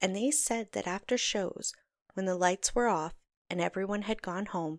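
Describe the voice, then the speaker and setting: In a normal speaking voice, a woman talks at a moderate pace and medium pitch, recorded very cleanly against a silent background with a dry, close sound and no echo. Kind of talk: podcast storytelling narration.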